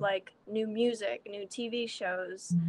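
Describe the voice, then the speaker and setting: In an American accent, a woman talks with fairly even intonation at a medium pitch. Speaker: musician. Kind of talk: interview. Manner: halting.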